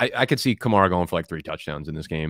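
In a dry, echo-free recording with a quiet background, a man speaks with an American accent in a very deep, low voice. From New Jersey. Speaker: fantasy football content creator. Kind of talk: casual chat. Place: home room. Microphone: studio mic.

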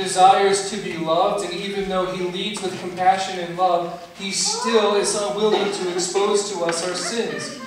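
Amid strong room echo and noticeable background noise, a man with a high pitch speaks at a moderate pace with fairly even intonation. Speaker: pastor. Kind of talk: sermon. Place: church. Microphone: camera far.

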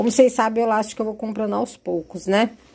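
A woman's medium-pitched voice with a dark, mellow tone and fairly even intonation. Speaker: YouTuber, handmade crafts seller. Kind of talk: vlog, casual talk to camera. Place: home room. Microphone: phone near.

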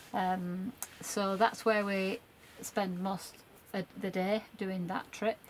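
A woman speaks very slowly, her intonation fairly even. There is light background noise. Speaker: travel vlogger. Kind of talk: casual vlog chat. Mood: cheerful, relaxed. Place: car. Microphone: phone near.

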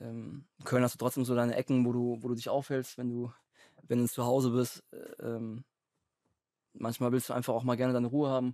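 The voice has a dark, mellow tone and a monotone, flat intonation at a fairly quick pace with long, frequent pauses. The sound is dry with no echo over a quiet background. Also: man, medium pitch for a man. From Lake Constance area, southern Germany; southern Germany. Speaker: professional footballer; podcast guest. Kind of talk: casual chat. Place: studio. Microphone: studio mic.

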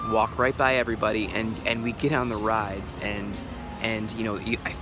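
A man speaks at a fairly low pitch and a fairly slow pace, with fairly even intonation. The sound is dry with no echo, and music plays clearly in the background. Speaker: daily vlogger. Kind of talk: casual vlog chat. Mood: reflective, a bit guilty. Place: waterside. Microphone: phone near.

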